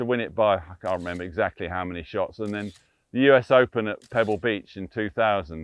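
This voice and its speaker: A man with an English accent, ordinary pitch variation and a fairly quick pace. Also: fairly low pitch for a man, big swings in loudness. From England. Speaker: sports photographer. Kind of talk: casual chat. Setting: outdoors. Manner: animated.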